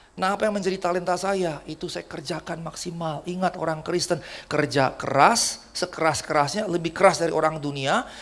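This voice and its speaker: An animated man with a high pitch, talking fairly quickly with hardly any pauses, amid noticeable background noise. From Jakarta, Indonesia, of Batak descent. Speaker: pastor. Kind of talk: sermon.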